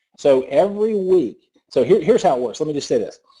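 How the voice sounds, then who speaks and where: A man speaks with a Southern US accent. His pace is very fast. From US South. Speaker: network marketing presenter. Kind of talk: sales pitch. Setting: conference call. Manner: animated.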